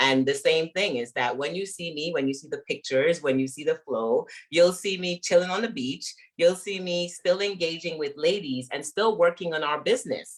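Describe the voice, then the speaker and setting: A woman with a Caribbean accent speaks at a moderate pace and a fairly low pitch. Her pitch variation is ordinary. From Guyana, raised in Brooklyn. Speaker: business coach and author. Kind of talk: interview. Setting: livestream.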